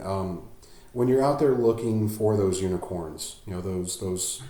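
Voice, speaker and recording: At a moderate pace, a man with a fairly low pitch talks with fairly even intonation, and audible room echo surrounds the voice. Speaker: podcast host. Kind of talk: casual interview chat. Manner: hesitant, many fillers and repeats; mumbles at times.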